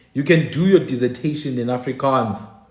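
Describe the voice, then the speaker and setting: A man speaks with lively intonation at a medium pitch and moderate pace. Audible room echo surrounds his voice. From South Africa. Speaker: online talk show host. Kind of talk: livestream monologue. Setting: live stream. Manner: animated.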